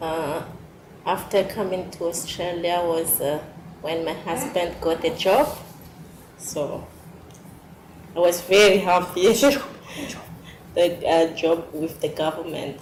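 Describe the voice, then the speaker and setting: A woman at a very slow pace, fairly low in pitch with ordinary pitch variation, long and frequent pauses, noticeable background noise and audible room echo. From Madagascar. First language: not English. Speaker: migrant mother. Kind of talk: interview. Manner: halting.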